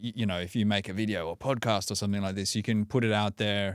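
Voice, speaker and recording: Fairly low-pitched, monotone male speech at a fairly quick pace, very clean recording with a silent background. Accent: Australian. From Australia. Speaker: breathwork coach and author. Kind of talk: podcast interview.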